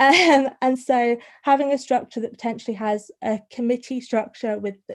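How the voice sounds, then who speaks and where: With a northern English accent, a woman speaks at a fairly high pitch and a fairly even intonation. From northern England. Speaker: students' union welfare officer. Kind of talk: online talk to students' union officers. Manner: fast; stuttering on some words.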